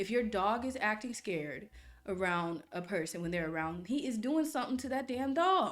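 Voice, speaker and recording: Animated in tone, a woman speaks at a moderate pace in a fairly high pitch that swings very widely. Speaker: reddit reaction youtuber. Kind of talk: casual reaction commentary with reading aloud. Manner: stuttering.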